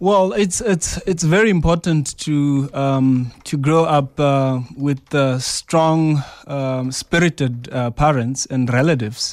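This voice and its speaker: A man's fairly high voice at a very slow pace, with hardly any pauses and ordinary pitch variation, on a very clean recording with a silent background. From South Africa, Venda (Limpopo). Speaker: leadership foundation executive with a PhD. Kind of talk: radio interview. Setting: radio studio.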